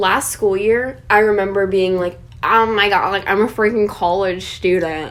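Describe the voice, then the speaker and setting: A woman talks at a moderate pace and medium pitch, with ordinary pitch variation, while noticeable background noise is heard. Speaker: podcast co-host, college student. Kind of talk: casual chat.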